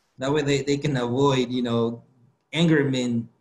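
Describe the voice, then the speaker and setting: A man with a Guatemalan accent, a fairly high pitch and fairly even intonation at a fairly slow pace. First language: Spanish. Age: 20s. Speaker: motivational speaker. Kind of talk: interview. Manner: halting, with repetitions.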